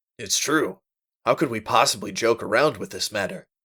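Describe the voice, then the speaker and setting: Putting on a character voice, a man sounds raspy at a medium pitch. His pace is moderate and his pitch variation ordinary. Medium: read story.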